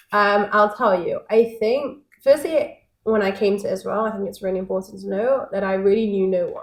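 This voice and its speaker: Here a woman speaks in a Manchester accent at a medium pitch. Her pace is moderate. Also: ordinary pitch variation. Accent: Mancunian; once mistaken for American. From northern England, Manchester. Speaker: networking company founder. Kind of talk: podcast interview. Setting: at her home.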